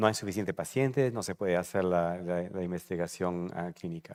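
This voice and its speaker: The speaker is a man. He shows ordinary pitch variation. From Peru, then England from age 13. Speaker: retired oncologist, patient advocacy medical director. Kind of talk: panel discussion at a live event. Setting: event venue with live audience. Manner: halting, many fillers.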